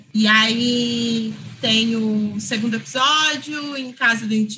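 Speech unfolds at a very slow pace. The intonation stays fairly even. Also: woman. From São Paulo, East Zone. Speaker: film director. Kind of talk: interview.

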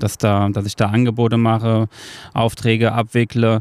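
A man speaks at a fairly slow pace with a medium-pitched voice. The recording is very clean, with a silent background. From Hesse, Germany (Marburg). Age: 30s. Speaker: carpenter. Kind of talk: casual interview. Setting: outdoors on a wooden terrace. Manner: hesitant, many filler sounds.

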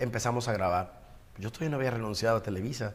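The man's voice sits at a medium pitch. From Ensenada, Baja California, Mexico. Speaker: broadcaster and businessman. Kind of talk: interview.

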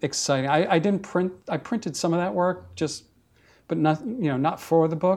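A man's fairly high voice, with ordinary pitch variation, comes through on a very clean recording against a silent background. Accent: New York. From New York, Brooklyn. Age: 50s. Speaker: photographer. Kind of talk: casual interview. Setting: at his home.

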